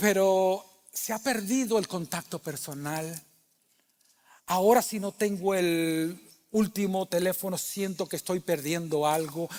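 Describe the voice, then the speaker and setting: A man with a high voice, fairly slow delivery and ordinary pitch variation. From Cuba. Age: 60s. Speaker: pastor. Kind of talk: sermon. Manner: conversational.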